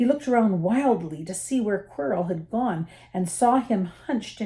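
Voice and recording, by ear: A natural voice reading aloud, intonation lively throughout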